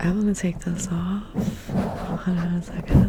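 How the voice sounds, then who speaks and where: The voice is a whisper. There is noticeable background noise behind it. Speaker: ASMR artist. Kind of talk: ASMR soft-spoken ramble. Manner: soft-spoken.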